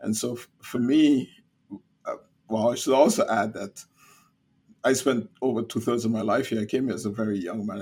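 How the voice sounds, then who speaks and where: Speaking with a Caribbean accent at medium pitch, a man keeps a moderate pace and fairly even intonation, with long, frequent pauses. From Caribbean (St. Kitts). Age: 70s. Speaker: business organization CEO. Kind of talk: interview.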